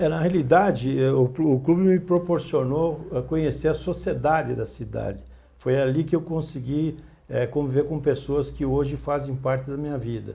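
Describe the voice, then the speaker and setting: With a dark, mellow tone and a somewhat breathy quality, a man speaks at a fairly high pitch and moderate pace, his intonation fairly even. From Greater São Paulo, Brazil. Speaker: journalist. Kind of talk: interview. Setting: studio.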